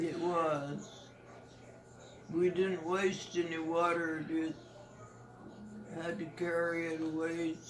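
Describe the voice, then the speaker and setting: With a monotone, flat intonation and a fairly low pitch, a woman speaks at a very slow pace with long, frequent pauses, amid noticeable background noise and audible room echo. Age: 80s+. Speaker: elderly grandmother. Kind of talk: family interview. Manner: halting.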